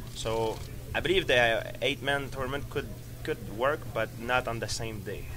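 Noticeable noise in the background behind a male speaker at a medium tempo. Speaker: fighter giving media interview. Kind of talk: interview answer. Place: hall. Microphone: handheld.

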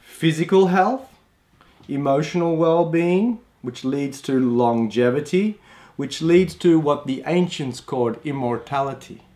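The speaker has an Australian accent and a dark, mellow tone. The pace is fairly slow, with ordinary pitch variation. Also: man, fairly high pitch for a man. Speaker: Chinese medicine practitioner; health course teacher. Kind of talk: online course introduction. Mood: calm, warm. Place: home room.

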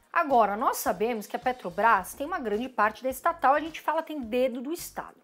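In an animated tone, a woman speaks with a Brazilian accent at a high pitch and a fairly quick pace. Her pitch swings very widely. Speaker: investing YouTuber. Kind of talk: informal educational vlog. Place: home room.

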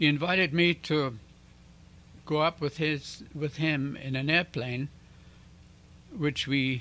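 A man's fairly high, bright and sharp voice at a very slow pace, with ordinary pitch variation and long, frequent pauses. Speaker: channel host. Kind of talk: casual talk to camera. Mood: calm, earnest. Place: home room. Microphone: handheld.

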